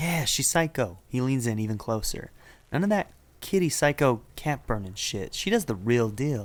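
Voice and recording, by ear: A passage is read aloud in a natural voice.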